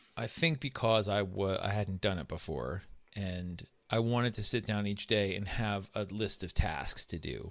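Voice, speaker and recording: Fairly low-pitched, a man speaks with lively intonation at a moderate pace. The recording is very clean, with a silent background. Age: 50s. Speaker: novelist. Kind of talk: casual interview. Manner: halting.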